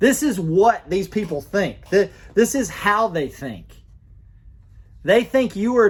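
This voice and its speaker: In an Alabama accent, a man speaks at a moderate pace with a high pitch and an animated tone. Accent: Alabama, affects pronunciation. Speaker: gun rights commentator. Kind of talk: political commentary monologue. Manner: halting, many false starts; animated, indignant.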